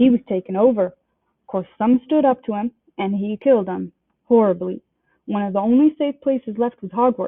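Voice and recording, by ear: Against a quiet background, the speaker is reading aloud in a natural voice, and the pitch varies in an ordinary way.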